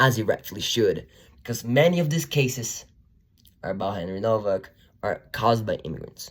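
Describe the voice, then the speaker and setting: Somewhat breathy and medium in pitch, a man speaks with a non-native accent and lively intonation. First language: not English. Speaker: YouTuber, commentator. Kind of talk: opinion monologue. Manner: animated.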